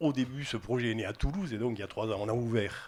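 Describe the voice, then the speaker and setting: A man's fairly low, somewhat breathy voice at a very fast pace, with a southwestern French accent. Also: very clean recording, silent background. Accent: southwest French. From southwest France, Albi. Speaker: housing company executive. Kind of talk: interview.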